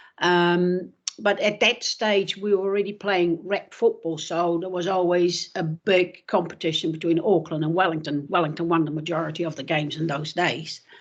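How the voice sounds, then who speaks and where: A woman speaks with a New Zealand accent at fairly low pitch and a moderate pace. Her intonation stays fairly even, with hardly any pauses. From Netherlands, then New Zealand from childhood. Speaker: retired footballer. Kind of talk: interview. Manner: hesitant, many fillers.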